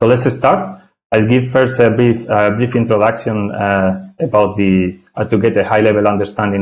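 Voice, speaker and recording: He speaks with a Spanish accent at a fairly quick pace. His pitch variation is ordinary. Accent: non-native English, Spanish. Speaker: software architect, tech speaker. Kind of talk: technical presentation. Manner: hesitant, many filler sounds.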